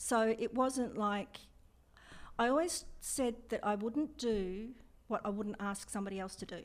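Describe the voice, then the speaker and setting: The speaker has an Australian accent and talks at a fairly slow pace with ordinary pitch variation. The recording is very clean, with a silent background. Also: woman, fairly high pitch for a woman. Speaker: air force veteran. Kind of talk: interview.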